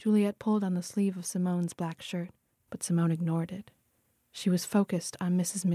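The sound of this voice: An unforced reading voice with fairly even intonation over a quiet background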